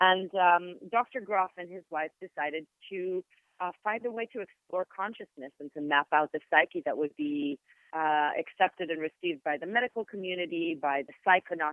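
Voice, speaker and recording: Moderate pace with an Israeli accent. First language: Hebrew. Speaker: sound therapist and yoga teacher. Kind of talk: interview. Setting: podcast. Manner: hesitant with fillers.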